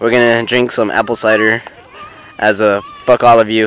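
A man with a fairly low pitch speaks at a moderate pace in a clear, smooth, fairly bright tone with little pitch movement.

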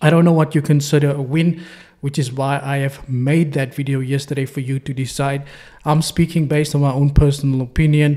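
A man talks in a dark, mellow, somewhat breathy tone at a moderate pace. His intonation is monotone and flat, and the background is quiet. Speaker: trading signal reviewer. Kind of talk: commentary. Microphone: studio mic.

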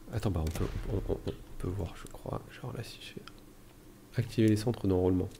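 A man whispers at a moderate pace. His loudness swings widely. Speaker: gaming youtuber. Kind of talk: let's play commentary. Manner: halting.

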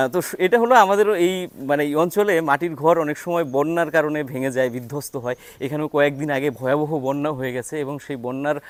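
Using an ordinary speaking voice, a man talks at a fairly high pitch with ordinary pitch variation. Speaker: travel vlogger. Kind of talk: travel vlog narration and interviews.

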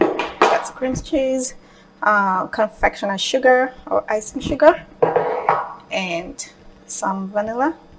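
At a very slow pace, a woman speaks over noticeable background noise. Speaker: cooking instructor. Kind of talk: tutorial. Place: kitchen. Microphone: camera far.

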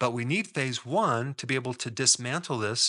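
A man talks with a bright, sharp tone. The background is quiet. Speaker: health educator. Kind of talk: lecture. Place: home room. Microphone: studio mic.

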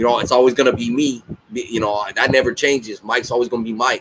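Against light background noise, a man speaks at a fairly quick pace. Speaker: reaction channel host. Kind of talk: casual vlog chat. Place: home room. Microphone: webcam.

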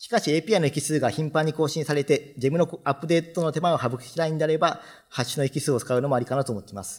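Pitched fairly high, a man speaks at a very fast pace with ordinary pitch variation and a somewhat breathy sound. His loudness swings a lot over a quiet background. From Japan, Fukuoka; Japan. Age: 30s. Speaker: software developer; conference speaker. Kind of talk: conference talk. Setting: stage with audience. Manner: formal. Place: hall.

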